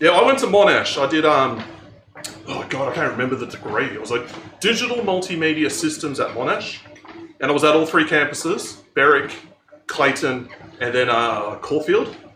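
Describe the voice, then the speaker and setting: Lively intonation and a moderate pace come through with long, frequent pauses, audible room echo and noticeable background noise. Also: man, fairly high pitch for a man. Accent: strong Melbourne. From Australia, Melbourne eastern suburbs. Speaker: streamer. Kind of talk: casual chat. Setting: live stream on a treadmill.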